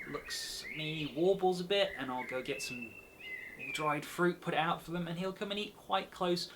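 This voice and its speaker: A man with an English accent and a high pitch speaks over noticeable background noise. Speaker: nature group leader. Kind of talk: educational talk. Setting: indoors at home. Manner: animated.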